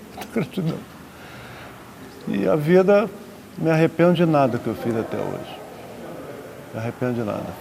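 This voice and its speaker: A man at a fairly slow pace with lively intonation, noticeable background noise behind him. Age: 70s. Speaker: retired air force officer. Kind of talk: interview. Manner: emotional.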